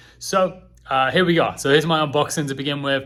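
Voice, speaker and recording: In an English accent, a man talks at a very fast pace. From England. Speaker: home improvement vlogger. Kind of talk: product review and unboxing. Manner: casual, with many fillers.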